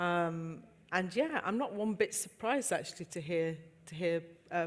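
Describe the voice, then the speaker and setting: A woman speaks with a Yorkshire accent at a moderate pace, her fairly low pitch showing ordinary variation. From Yorkshire, England. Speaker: entrepreneur. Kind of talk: panel discussion.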